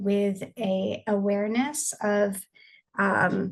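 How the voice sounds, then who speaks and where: A woman's medium-pitched voice stays monotone and flat throughout. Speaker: counselor. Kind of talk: guided meditation. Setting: video call. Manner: slow; soft-spoken.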